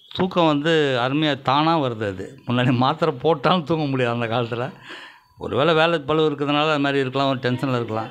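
With light background noise, a man speaks in a normal speaking voice at a fairly high pitch with ordinary pitch variation. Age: 60s. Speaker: patient. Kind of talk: testimony. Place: home room. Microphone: handheld.

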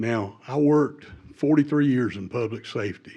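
This man talks with a Southern US accent. His pitch varies in an ordinary way. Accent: Southern US (Georgia). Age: 70s. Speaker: retired public safety worker speaking at public hearing. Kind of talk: public comment at hearing.

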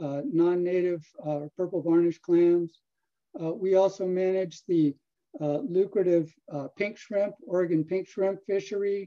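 A man speaks at a high pitch with a dark, mellow tone and fairly even intonation. His pace is fairly slow, and the background is quiet. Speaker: fisheries scientist. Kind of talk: research talk. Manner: halting. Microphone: video call.

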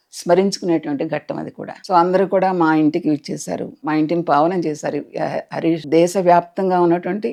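Over a quiet background, a woman speaks at a fairly low pitch in a dark, mellow tone with ordinary pitch variation. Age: 80s+. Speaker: doctor and writer. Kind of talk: interview testimony.

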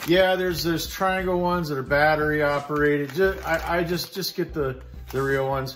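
Faint music plays in the background as a man speaks at a moderate pace with fairly even intonation. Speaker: preparedness vlogger. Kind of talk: casual gear show-and-tell. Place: garage. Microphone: phone near.

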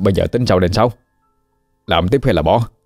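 A man puts on a character voice, shaky and fairly low-pitched, at a fairly quick pace. The sound is dry and close with no echo, and music plays in the background. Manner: trembling, frightened.

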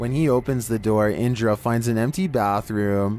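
With music behind him, a man talks at a medium pitch. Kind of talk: scary video countdown narration. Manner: steady scripted read, measured pacing, wry humor.

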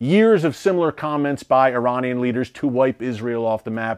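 Lively intonation and an American accent carry speech at a moderate pace over a quiet background. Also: man. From United States. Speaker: news show host. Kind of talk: news commentary. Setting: studio. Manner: emphatic, urgent; formal, fluent. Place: studio. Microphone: lapel.

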